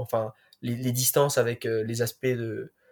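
A man at a fairly slow pace, in a very clean recording with a silent background. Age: 20s. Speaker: sports science student and athletics stats enthusiast. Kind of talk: podcast interview.

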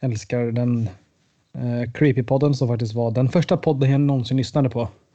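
This man's voice sits at a medium pitch, somewhat breathy, with fairly even intonation. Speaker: student, podcast co-host. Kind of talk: casual chat.

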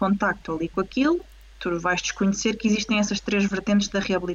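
Somewhat breathy and at a medium pitch, a woman speaks at a fairly quick pace. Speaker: pelvic physiotherapist. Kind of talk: casual interview. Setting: video call live stream. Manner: animated.

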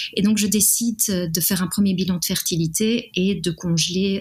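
In a fairly low pitch, a woman speaks at a fairly slow pace with fairly even intonation. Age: 30s. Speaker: art director sharing a fertility story. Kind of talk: personal testimony interview. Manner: hesitant, many fillers.

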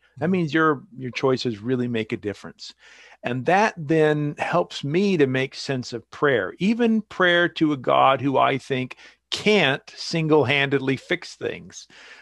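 A man with a General American accent uses a normal speaking voice, fairly high in pitch and fairly slow, with lively intonation, in a dry, close sound with no echo and a quiet background. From US Pacific Northwest, eastern Washington. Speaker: author and theologian. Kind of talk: interview.

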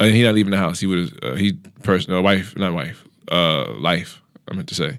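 Vocal fry marks a man's very deep, low voice. Everything is very clean, set against a silent background. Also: lively intonation, moderate pace. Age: 30s. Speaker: comedian. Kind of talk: casual chat. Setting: studio. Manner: frequent laughter.

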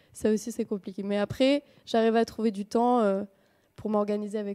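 In a dry, close sound with no echo, a woman speaks at a medium pitch with monotone, flat intonation. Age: 20s. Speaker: film technician and association co-founder. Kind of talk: interview. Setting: studio. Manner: hesitant, many fillers.

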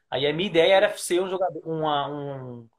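A man's voice at a fairly quick pace, with ordinary pitch variation. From Brazil, São Paulo area. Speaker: sports journalist. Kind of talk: interview.

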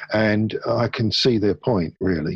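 A somewhat breathy man, fairly low in pitch, in a dry, close sound with no echo. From Hounslow, west London. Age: 70s. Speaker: photographer. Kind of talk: interview conversation.

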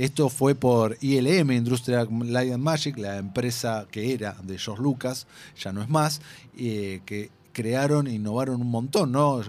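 Speaking fairly slowly in an ordinary speaking voice, a man at medium pitch shows ordinary pitch variation in a very clean recording with a silent background. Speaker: film podcast host. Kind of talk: casual chat.

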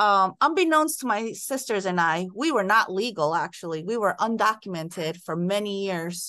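This woman has an ordinary speaking voice, medium in pitch, with lively intonation, a moderate pace and hardly any pauses against a quiet background. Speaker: school principal. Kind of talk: interview conversation.

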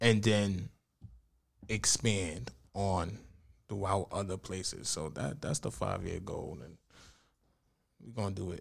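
A man with an American accent speaks at a fairly slow pace in a fairly low voice with vocal fry, ordinary pitch variation, big swings in loudness and long, frequent pauses, on a very clean recording with a silent background. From Bronx, New York. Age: 30s. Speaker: poet. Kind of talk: casual chat.

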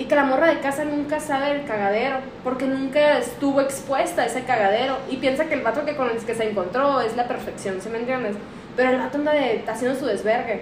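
A woman with a Mexican accent, high in pitch and very fast, with audible room echo and noticeable background noise. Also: ordinary pitch variation. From Mexico, Aguascalientes. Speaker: podcast host. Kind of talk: casual chat.

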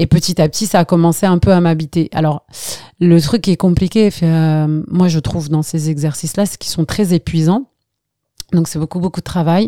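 Speaking at a moderate pace, a woman has a fairly low pitch and a dark, mellow tone. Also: dry, close sound with no echo. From Algeria, Skikda; left at 11 for France. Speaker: actress and voice-over artist. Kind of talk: casual chat.

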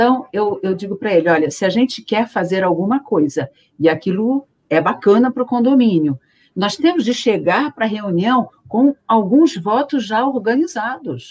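A woman's fairly high, somewhat breathy voice, swinging very widely in pitch, at a moderate pace. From Rio de Janeiro, Brazil. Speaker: teacher. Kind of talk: casual chat.

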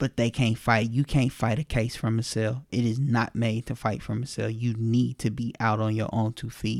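On a very clean recording with a silent background, a man speaks at a medium pitch and a moderate pace with hardly any pauses. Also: dry, close sound with no echo. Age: 20s. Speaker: interview guest sharing personal story. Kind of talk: personal testimony. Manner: animated.

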